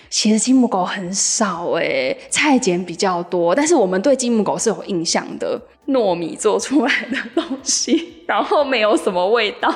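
A woman's fairly high voice at a fairly slow pace, very wide pitch swings, hardly any pauses, and noticeable background noise. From Penghu, Taiwan. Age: young. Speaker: local resident. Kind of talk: interview.

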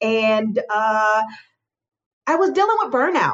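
The speaker has an ordinary speaking voice and an American accent. Lively intonation carries the moderate pace. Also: woman. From Chicago. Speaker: business consultant, former nurse practitioner. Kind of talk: interview.

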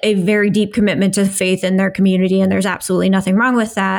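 The recording is very clean with a silent background as a woman speaks with an American accent. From US Midwest. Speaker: podcast co-host, diversity and inclusion expert. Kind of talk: casual discussion. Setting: at home.

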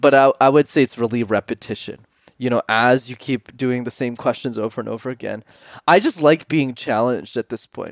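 In an ordinary speaking voice, a man talks at a fairly quick pace with medium pitch and fairly even intonation, recorded very cleanly against a silent background with a dry, close sound and no echo. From Canada, Montreal. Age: 20s. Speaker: public speaking coach. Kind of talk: interview. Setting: podcast interview.

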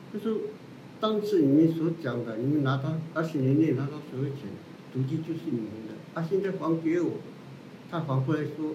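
A man with a fairly high pitch talks at a moderate pace, leaving long, frequent pauses. Noticeable background noise and audible room echo fill the recording. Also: ordinary pitch variation. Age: 60s. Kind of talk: interview. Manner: halting, many fillers.

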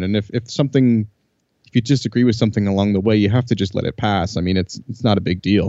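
In a normal speaking voice, a man talks at a fairly low pitch. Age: 30s. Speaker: podcast host, clarinetist. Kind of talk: casual interview chat.

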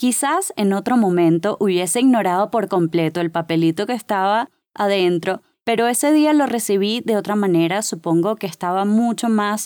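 The woman talks at a moderate pace and a medium pitch, with ordinary pitch variation. The recording is very clean, with a silent background. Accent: Caracas. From Venezuela, Caracas. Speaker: podcast host. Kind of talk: motivational monologue. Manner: animated.

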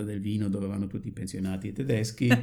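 This is a man speaking with a German accent. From Germany, Dortmund area. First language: German (speaking Italian). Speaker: retired psychiatrist. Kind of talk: casual chat.

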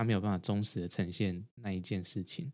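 With a dark, mellow tone, a man speaks at fairly low pitch with ordinary pitch variation. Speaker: podcast co-host, doctorate holder. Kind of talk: casual chat. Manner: halting, frequent repetitions.

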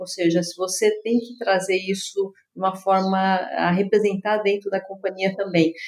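Monotone, flat intonation at a moderate pace with hardly any pauses. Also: woman, medium pitch for a woman. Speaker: tech company executive. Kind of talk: interview conversation.

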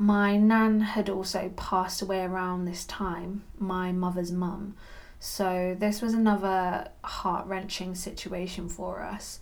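Flat and monotone, the voice moves at a very slow pace with audible room echo. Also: woman, medium pitch for a woman. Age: 30s. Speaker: podcast host, cat sitting business owner. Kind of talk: solo podcast monologue, partly scripted.

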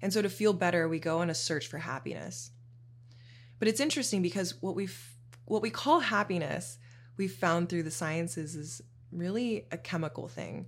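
A woman's fairly low voice with vocal fry, lively intonation, a moderate pace, and long, frequent pauses. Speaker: podcast host on shadow work. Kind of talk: solo monologue podcast. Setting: home studio. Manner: casual, conversational.

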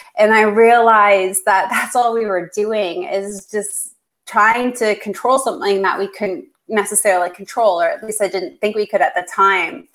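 A woman speaks in a plain, everyday voice with a Canadian accent, at a fairly high pitch and moderate pace. Her pitch variation is ordinary, and the recording is very clean with a silent background. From Canada. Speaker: clinical researcher and fasting educator. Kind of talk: interview.

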